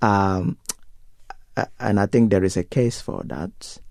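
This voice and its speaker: A man's fairly low-pitched voice at a very slow pace. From Nigeria. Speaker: pastor. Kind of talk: interview. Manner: hesitant, many fillers.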